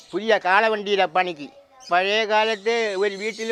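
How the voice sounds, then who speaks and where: Against noticeable background noise, a man talks at a high pitch with fairly even intonation. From Kerala, Kattakada (Thiruvananthapuram). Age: 70s. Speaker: traditional blacksmith. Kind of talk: interview. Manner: halting.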